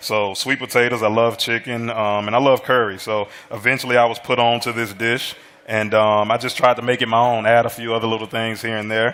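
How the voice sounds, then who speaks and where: Speaking with an American accent, a man uses a medium pitch and monotone, flat intonation at a fairly quick pace. Noticeable background noise runs under him. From US South, Alabama. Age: 30s. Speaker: American football head coach. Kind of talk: casual chat. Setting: studio kitchen with live audience.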